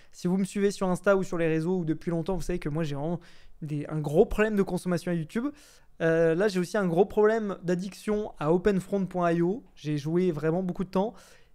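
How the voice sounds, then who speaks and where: At a fairly quick pace, a man speaks with a high pitch and a dark, mellow tone. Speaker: YouTuber. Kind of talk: casual vlog monologue. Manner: fast; hesitant, many fillers.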